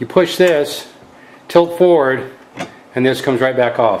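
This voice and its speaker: A man talks at a medium pitch with ordinary pitch variation. Noticeable background noise runs under his voice. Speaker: tech video creator. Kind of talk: product review tutorial. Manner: casual, many fillers.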